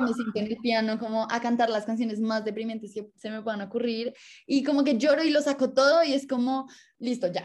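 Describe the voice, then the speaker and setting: Her voice is somewhat breathy and fairly high in pitch, with ordinary pitch variation. The woman talks at a fairly quick pace. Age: 20s. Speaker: music student and singer. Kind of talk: casual chat.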